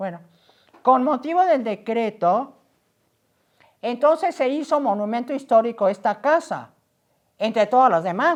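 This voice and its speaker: The speaker uses lively intonation and leaves long, frequent pauses. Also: woman, high pitch for a woman. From Mexico City (Azcapotzalco). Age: 80s+. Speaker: local historian. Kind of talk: interview conversation.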